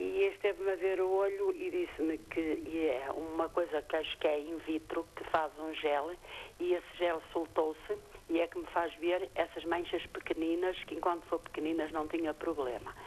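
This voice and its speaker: A woman's fairly low voice in monotone, flat intonation. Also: moderate pace. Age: 60s. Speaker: caller. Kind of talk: phone-in question. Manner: halting.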